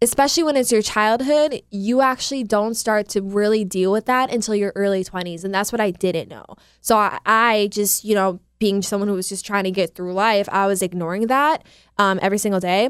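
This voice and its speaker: On a very clean recording with a silent background, a woman with an American accent and an unremarkable speaking voice talks at medium pitch and a fairly quick pace with ordinary pitch variation. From US Midwest, Milwaukee area. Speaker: fitness trainer. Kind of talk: casual interview.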